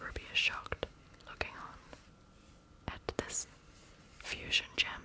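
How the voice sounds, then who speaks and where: Whispering in a calm tone over noticeable background noise. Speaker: ASMR reader. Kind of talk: ASMR bedtime story reading. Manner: soft, calm, cozy.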